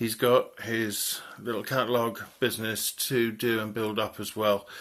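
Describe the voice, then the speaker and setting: This man's voice sits at a medium pitch. He talks fairly slowly with monotone, flat intonation. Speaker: spiritualist vlogger. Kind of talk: vlog. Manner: halting, with fillers.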